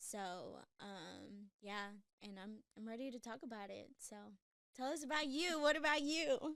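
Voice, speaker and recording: With an American accent, a woman speaks at a moderate pace in a high pitch, her lively intonation marked by big swings in loudness and long, frequent pauses. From Texas, Houston. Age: 30s. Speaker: podcast co-host. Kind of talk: casual chat.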